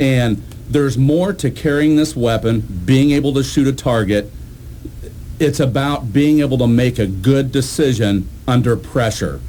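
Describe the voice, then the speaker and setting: Against noticeable background noise, a man with an American accent speaks at a moderate pace in a medium pitch, with ordinary pitch variation and very even loudness. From Illinois, Logan County. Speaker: police officer and sheriff candidate. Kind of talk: radio interview.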